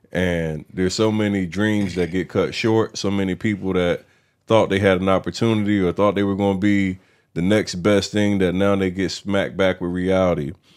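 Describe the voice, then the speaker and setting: The delivery is monotone and flat at a moderate pace. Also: man, very clean recording, silent background. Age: 30s. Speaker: podcast host, former football player, salesman. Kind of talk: casual interview chat.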